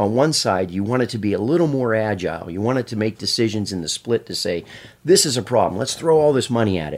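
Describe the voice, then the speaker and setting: Speaking with an American accent, a man talks at a very fast pace. His medium-pitched voice carries lively intonation. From Pennsylvania. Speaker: brain researcher. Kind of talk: casual chat.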